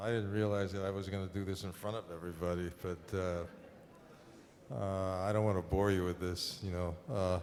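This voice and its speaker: A man with a very deep, low voice speaks in an American accent at a moderate pace, with fairly even intonation. He hardly pauses, and audible room echo fills the space. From New York City, Harlem. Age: 70s. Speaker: painter. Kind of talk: onstage conversation. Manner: halting, many fillers.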